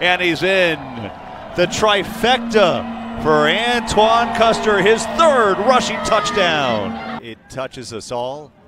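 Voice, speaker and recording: With music in the background, a man speaks at a very slow pace in a high pitch. His intonation is lively, and his loudness swings widely. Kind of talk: live play-by-play sports commentary.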